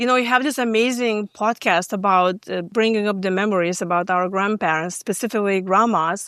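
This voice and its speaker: A woman with a slight Lithuanian accent speaks at a moderate pace. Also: very clean recording, silent background. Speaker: stress management coach. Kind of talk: podcast interview. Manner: hesitant, many fillers.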